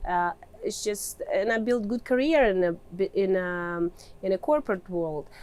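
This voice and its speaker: A woman in a Russian accent, with ordinary pitch variation. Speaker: mining engineer and real estate investor. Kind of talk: interview answer.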